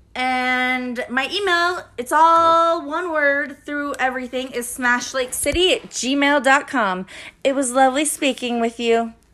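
In an American accent, a raised, projected voice with a bright, sharp tone moves at a fairly slow pace with ordinary pitch variation. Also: woman, high pitch for a woman. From California. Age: 30s. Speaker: podcast host. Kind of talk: casual chat.

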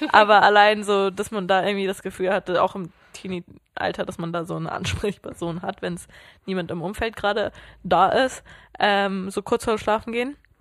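A woman's medium-pitched voice keeps a moderate speed and fairly even intonation. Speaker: podcast co-host. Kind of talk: casual chat. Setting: sitting on a sofa at home.

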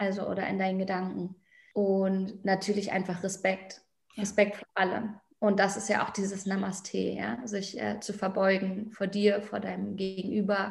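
A woman's medium-pitched voice with vocal fry and monotone, flat intonation. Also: moderate pace. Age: 30s. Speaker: fashion label founder. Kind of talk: podcast interview.

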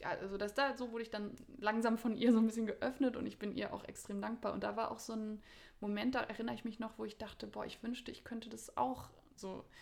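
At a very fast pace, a woman with a fairly high pitch speaks in a monotone, flat intonation with vocal fry. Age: 30s. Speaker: spiritual teacher and academic. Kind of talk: casual interview.

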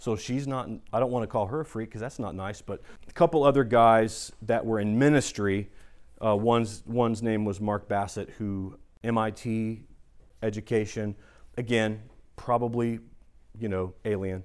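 With a US Midwestern accent, a man talks at a medium pitch and a moderate pace with fairly even intonation and long, frequent pauses, in a very clean recording with a silent background. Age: 40s. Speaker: pastor. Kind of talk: sermon.

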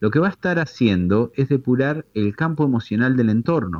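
At a moderate pace, a man talks with very wide pitch swings, recorded with a dry, close sound, no echo and a quiet background. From Tandil, Argentina. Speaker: holistic therapist. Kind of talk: explanatory interview.

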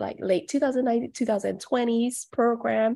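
Recorded very cleanly against a silent background, a woman speaks with a dark, mellow tone and ordinary pitch variation. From Malaysia. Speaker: aviation training director. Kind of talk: interview.

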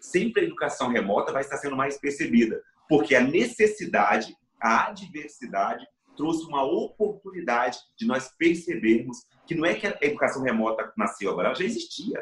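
This man has a fairly high pitch, speaks at a moderate pace, and makes very wide pitch swings. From Brazil, interior of Espírito Santo (mountain region). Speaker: education professor and motivational speaker. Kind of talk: interview from home. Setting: remote from home.

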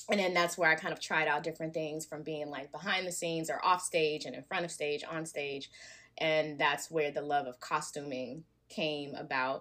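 A woman with an American accent speaks at a moderate pace in a very deep, low voice with a bright, sharp tone. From US South, Alabama. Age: young. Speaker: nonprofit founder and stylist. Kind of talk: interview.

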